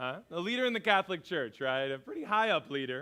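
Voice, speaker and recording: A man talks loudly at a moderate pace, his pitch swinging very widely. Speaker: pastor. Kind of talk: sermon.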